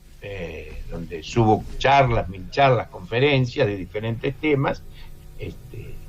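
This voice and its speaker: Very slowly and somewhat breathily, a man speaks at a medium pitch with lively intonation and big swings in loudness. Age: 70s. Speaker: film critic and lecturer. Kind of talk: radio interview. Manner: halting.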